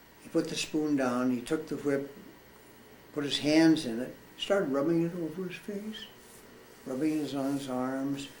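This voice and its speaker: Amid noticeable background noise and audible room echo, a man with an American accent speaks with ordinary pitch variation, big swings in loudness, and long, frequent pauses. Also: fairly high pitch for a man, moderate pace. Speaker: war veteran. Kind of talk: testimony. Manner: halting.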